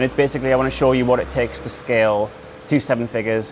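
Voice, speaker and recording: Monotone, flat delivery against noticeable background noise. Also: man. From northeast England, Newcastle. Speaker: e-commerce entrepreneur, speaker. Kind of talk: talk to a live audience.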